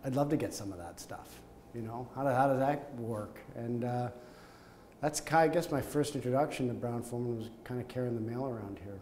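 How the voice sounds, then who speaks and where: A man with a Canadian accent at a fairly quick pace, with ordinary pitch variation, big swings in loudness, and light background noise. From Canada, Montreal. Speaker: company executive. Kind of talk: oral history interview; interview answer. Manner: hesitant, with fillers and repetitions. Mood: warm, reminiscing. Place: office.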